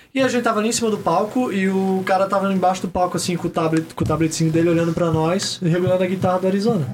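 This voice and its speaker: A man speaks with a high pitch and a very fast pace, barely pausing at all. His loudness stays very even and his pitch varies normally, over noticeable background noise. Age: 20s. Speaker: podcaster and singer. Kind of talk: casual chat.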